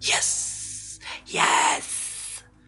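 A raspy, put-on character voice pitched very deep and low. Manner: scary, evil.

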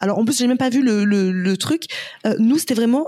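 A very fast pace with ordinary pitch variation. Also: woman. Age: 30s. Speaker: entrepreneur and influencer. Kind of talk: casual interview.

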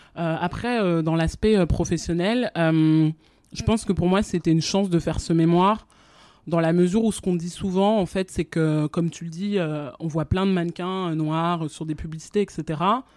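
A woman's fairly low voice has a dark, mellow tone. The intonation is fairly even. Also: fairly slow pace, very clean recording, silent background. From France. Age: 20s. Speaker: fashion communications professional. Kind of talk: interview. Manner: halting.

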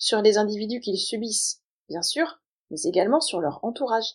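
A woman speaks with an ordinary speaking voice at a medium pitch and a moderate pace. Her pitch variation is ordinary, and the background is quiet. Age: 40s. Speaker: podcast host. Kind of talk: scripted solo monologue.

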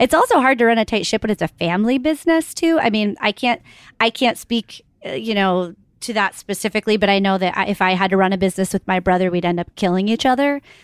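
Speaking very fast at a medium pitch, a woman sounds animated, with lively intonation, on a very clean recording with a silent background and a dry, close sound with no echo. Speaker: podcast host. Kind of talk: casual interview. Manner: animated, chatty.

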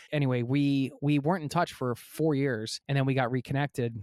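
In a very clean recording with a silent background and a dry, close sound with no echo, a man with a plain, everyday voice talks at a fairly quick pace with fairly even intonation. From United States. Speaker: travel podcaster. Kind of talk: interview.

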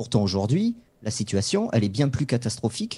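A man's somewhat breathy voice at medium pitch, dark and mellow in tone, with lively intonation and a fairly quick pace, on a very clean recording with a silent background. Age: 40s. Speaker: football club website editor and supporter. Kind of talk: interview.

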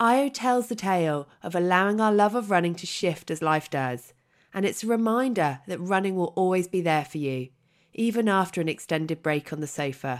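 A woman with a plain, everyday voice speaks at a moderate pace and medium pitch, using lively intonation, on a very clean recording with a silent background. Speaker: podcast host. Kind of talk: scripted intro.

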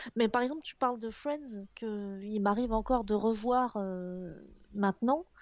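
A normal speaking voice at a fairly slow pace with ordinary pitch variation. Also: woman, fairly high pitch for a woman. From Picardy, northern France. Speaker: video and motion designer. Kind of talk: casual chat.

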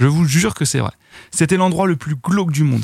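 Recorded very cleanly against a silent background, dry and close with no echo, a man speaks in a somewhat breathy voice with fairly high pitch and ordinary pitch variation. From western France (Noirmoutier, Vendée). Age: 30s. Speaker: web video creator. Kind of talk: casual chat.

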